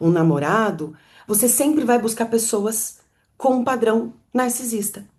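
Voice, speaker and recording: Speech unfolds at a fairly slow pace. The tone is dark and mellow. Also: woman. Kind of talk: teaching talk to live audience.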